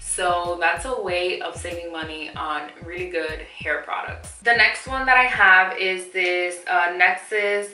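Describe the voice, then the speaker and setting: A woman with a fairly low pitch speaks at a fairly slow pace amid audible room echo and noticeable background noise. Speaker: beauty vlogger. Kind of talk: product review vlog. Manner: casual, chatty.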